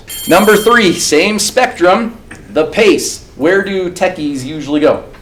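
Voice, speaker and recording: With noticeable background noise and audible room echo, a man speaks at a fairly slow pace, his pitch swinging very widely. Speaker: presentation skills trainer. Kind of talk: interactive workshop lecture.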